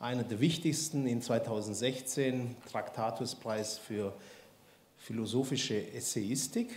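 A man talks at a very slow pace in a somewhat breathy voice with ordinary pitch variation. Light background noise and audible room echo sit behind him. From Swabia, Baden-Württemberg. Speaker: institute director and event host. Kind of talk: speaker introduction. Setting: lecture hall with audience. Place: hall. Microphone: handheld.

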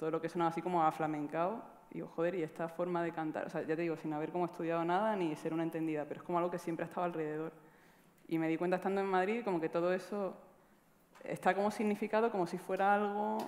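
The delivery is very fast with fairly even intonation. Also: woman, fairly low pitch for a woman. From Granada, Andalusia. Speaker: musician. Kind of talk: panel discussion. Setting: stage with audience. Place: stage. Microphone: headset.

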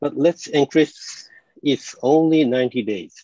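A man's very slow, dark and mellow voice, fairly high in pitch, with a Japanese accent, dry with no echo over a quiet background. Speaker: conference presenter and developer trainer. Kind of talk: technical presentation with live demo. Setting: video call. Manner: self-deprecating, laughs often. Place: home room.

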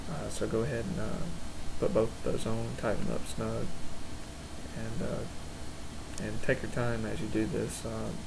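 Noticeable noise sits in the background. The man speaking keeps a moderate pace. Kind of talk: tutorial. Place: workshop. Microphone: camera far.

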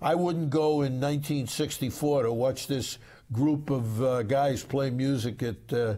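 A man in a New York accent speaks with a dark, mellow tone that is somewhat breathy. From New York, Brooklyn. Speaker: sportswriter. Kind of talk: casual chat.

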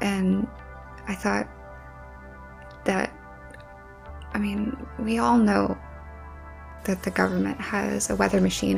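Faint music plays in the background as a soft-spoken woman talks at a fairly slow pace. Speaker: ASMR creator. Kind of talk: ASMR soft talking. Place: home room. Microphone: studio mic.

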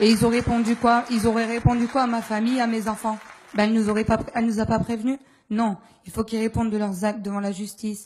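A somewhat breathy woman at a very fast pace, in a monotone, flat intonation. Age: 20s. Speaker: postal worker, stroke victim; audience member. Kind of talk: testimony. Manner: halting. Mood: emotional, indignant. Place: hall. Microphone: handheld.

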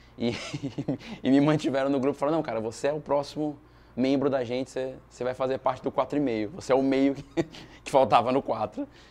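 Using monotone, flat intonation, a man speaks at a fairly quick pace. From Brazil, São Paulo. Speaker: comedian and actor. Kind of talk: interview testimony. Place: stage. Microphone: lapel.

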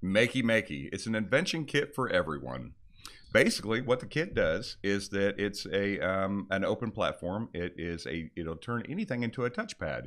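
Against a quiet background, a man with a fairly low pitch and vocal fry makes very wide pitch swings. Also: moderate pace. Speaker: product specialist co-host. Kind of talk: casual informative podcast chat. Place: studio. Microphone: studio mic.

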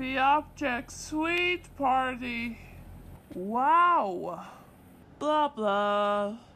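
A woman uses a cartoonish character voice, high in pitch. She goes very slowly with long, frequent pauses, and clear background noise is present. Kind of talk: comic overacting. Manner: angry, shouting, menacing.

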